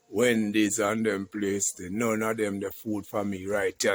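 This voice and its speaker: With a Jamaican accent, a man talks at a fairly slow pace. His pitch sits fairly low. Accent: Jamaican, patois. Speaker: YouTube vlogger, country cook. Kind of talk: casual cooking vlog.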